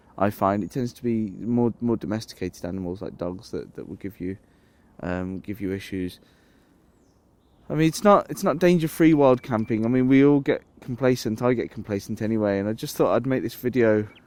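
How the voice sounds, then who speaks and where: Speaking with an English accent, a man moves at a fairly quick pace with lively intonation and big swings in loudness. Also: medium pitch for a man. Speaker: outdoors vlogger. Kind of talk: casual vlog talk to camera. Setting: outdoors in woodland camp. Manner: hesitant with repetitions.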